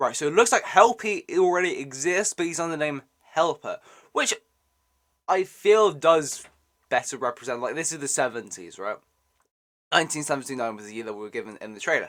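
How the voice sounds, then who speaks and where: With a British accent and an animated tone, this speaker moves at a fairly quick pace broken by long, frequent pauses. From Britain. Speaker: gaming YouTuber reacting to a trailer. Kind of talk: casual reaction commentary.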